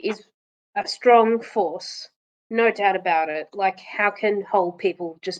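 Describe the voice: Against a quiet background, the clip offers plain reading aloud with pitch that varies in an ordinary way.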